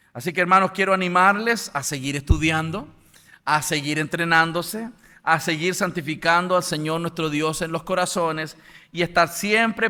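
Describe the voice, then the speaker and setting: A man with a Chilean accent speaks at a moderate pace and fairly high pitch, with a bright, sharp tone and ordinary pitch variation, on a very clean recording with a silent background. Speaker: apologetics lecturer. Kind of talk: lecture.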